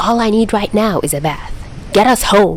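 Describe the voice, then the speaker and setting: A female-sounding voice puts on a gruff character at medium pitch and a moderate pace. Clear background noise sits behind it. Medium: read story. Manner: gruff, irritable.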